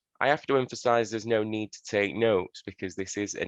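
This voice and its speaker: A man with a Yorkshire accent comes through in a dry, close recording with no echo. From northern England, Sheffield, Yorkshire. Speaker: social worker giving a talk. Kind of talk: presentation. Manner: hesitant, many fillers.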